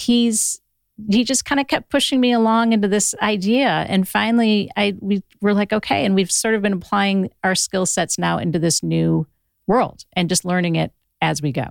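In a very clean recording with a silent background and a dry, close sound with no echo, a woman with an American accent has an unremarkable speaking voice at medium pitch, with ordinary pitch variation, very even loudness and a moderate pace. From Ohio. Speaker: podcast company founder. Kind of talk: casual chat. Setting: studio.

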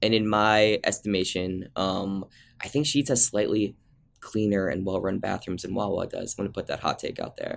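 In a very clean recording with a silent background, a man with an ordinary speaking voice speaks at a medium pitch. He has an American accent and a moderate pace. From New Jersey. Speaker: food and travel writer, content director. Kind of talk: casual chat.

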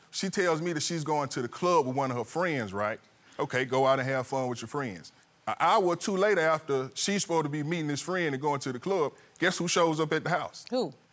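Speaking at a fairly quick pace with lively intonation, the man has an ordinary speaking voice. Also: fairly high pitch for a man. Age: 40s. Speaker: litigant. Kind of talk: courtroom testimony.

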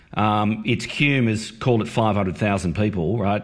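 With an Australian accent, a man talks in a somewhat breathy voice with lively intonation. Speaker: breakfast radio host, former creative executive. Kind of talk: interview.

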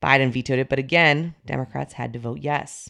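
The delivery is very fast, with vocal fry. The background is quiet. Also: woman. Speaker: news podcast host. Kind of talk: news reading, scripted morning political briefing. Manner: brisk, steady, businesslike newsreader delivery.

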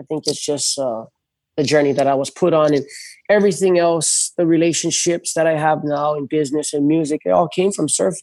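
A man with a fairly high voice talks at a fairly quick pace with ordinary pitch variation. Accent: Hawaiian. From Hawaii, North Shore of Oahu. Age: 30s. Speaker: big wave surfer. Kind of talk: casual chat.

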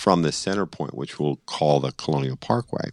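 Dry and close with no echo, in a very clean recording with a silent background, a man with an American accent speaks in a very deep, low pitch with lively intonation. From Boston. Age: 60s. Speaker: brother of a murder victim, cold case advocate. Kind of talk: podcast interview. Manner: outspoken, laughs often.

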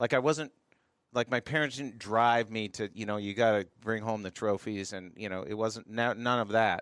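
Speaking in a normal speaking voice, a man at medium pitch talks at a moderate pace with ordinary pitch variation, with a dry, close sound with no echo and a very clean recording with a silent background. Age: 50s. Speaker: masters fitness athlete. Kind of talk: casual chat.

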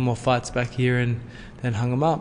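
This man speaks with an Australian accent. His medium-pitched voice stays in a flat monotone. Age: 30s. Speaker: former boxing world champion. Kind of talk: casual interview.

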